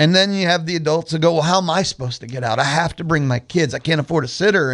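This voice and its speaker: Against a quiet background, a man with a fairly high pitch and ordinary pitch variation talks at a fairly quick pace. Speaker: radio host. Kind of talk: radio talk show monologue. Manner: loud.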